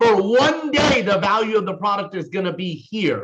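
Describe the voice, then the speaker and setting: Loud and animated, a man with a high pitch talks at a fairly slow pace with lively intonation. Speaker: network marketing team leader. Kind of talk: sales training talk. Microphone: distorted sound.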